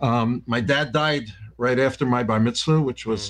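A man talks with a New York accent. His pitch varies in an ordinary way. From New York (Yonkers). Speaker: former university president. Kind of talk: interview.

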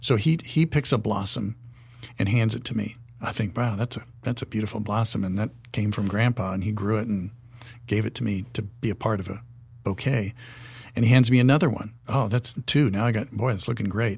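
With an American accent, a man of fairly low pitch talks at a fairly quick pace, somewhat breathy and with ordinary pitch variation. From US, Wyoming. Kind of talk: podcast interview discussion.

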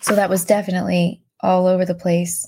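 Somewhat breathy and fairly low in pitch, a woman speaks in a very clean recording with a silent background. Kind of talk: devotional podcast reading her old journal aloud, with a closing blessing; fervent prayer read aloud from her journal. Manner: earnest, heartfelt, pleading.

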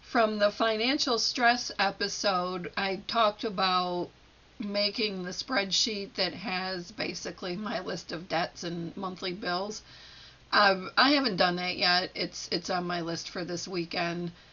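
A woman speaks at a fairly slow pace with ordinary pitch variation in a plain, everyday voice. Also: medium pitch for a woman. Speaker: solo podcaster playing therapist and patient. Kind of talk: solo self-help monologue, reflective. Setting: home recording at a microphone.

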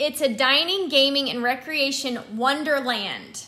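With ordinary pitch variation, a raised, projected voice rings out in a bright, sharp tone. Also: woman. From New Mexico, Albuquerque. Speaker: podcast host and touring musician. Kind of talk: casual chat.

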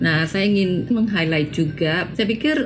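A woman's voice with ordinary pitch variation, audible room echo and noticeable background noise. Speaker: education program specialist. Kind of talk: interview. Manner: halting.

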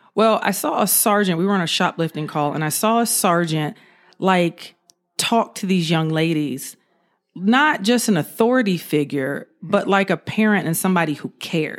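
Lively in intonation, a woman with an American accent talks at a moderate pace. The recording is very clean, with a silent background. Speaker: retired police officer. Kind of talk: casual interview, storytelling.

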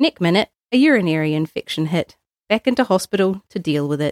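A woman with a New Zealand accent, medium pitch and moderate pace. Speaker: librarian. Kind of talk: reading aloud.

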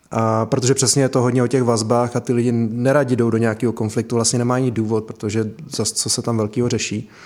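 A man's medium-pitched voice at a very fast pace, with monotone, flat intonation and hardly any pauses. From Sudetenland village, Czech Republic. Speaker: project manager, former local councillor. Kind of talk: conversational interview. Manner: hesitant.

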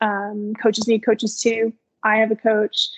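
The voice carries an American accent and a monotone, flat intonation. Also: woman. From Maryland, US. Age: 30s. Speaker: running coach and elite marathoner. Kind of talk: casual interview.

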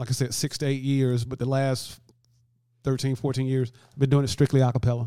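A man with a Southern US accent speaks at a moderate pace and medium pitch. His tone is dark and mellow, his intonation monotone and flat. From US South, Alabama. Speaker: musician and hospice volunteer. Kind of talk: interview. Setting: studio.

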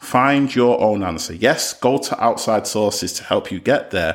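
A man talks in a normal speaking voice. He keeps a moderate pace with ordinary pitch variation. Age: 30s. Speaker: podcast host. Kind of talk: solo podcast monologue.

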